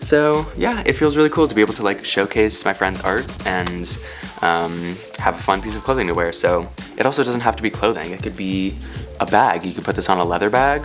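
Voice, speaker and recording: Music plays in the background as a man speaks at a fairly quick pace. His very deep, low voice makes very wide pitch swings. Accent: American. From San Francisco. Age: 20s. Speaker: YouTuber. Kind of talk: tutorial. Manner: animated.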